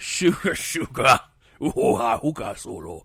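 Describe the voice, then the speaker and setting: Fairly slow pacing in a put-on character voice from a man. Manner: grunting, laughing.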